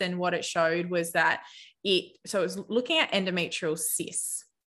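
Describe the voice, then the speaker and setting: A bright, sharp tone marks this woman's voice, delivered in an Australian accent. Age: 30s. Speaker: naturopath. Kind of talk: interview.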